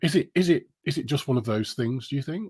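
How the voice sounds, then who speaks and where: This man talks at a fairly quick pace with a British accent. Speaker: live stream interview host. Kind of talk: casual interview. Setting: Facebook live stream.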